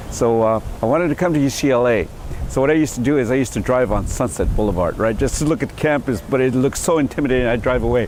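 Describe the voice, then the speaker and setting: A medium-pitched man with an American accent talks at a very fast pace, keeping his loudness very even and his pitch variation ordinary, against noticeable background noise. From San Carlos Apache Reservation, Arizona. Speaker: former student activist. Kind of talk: interview testimony. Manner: halting.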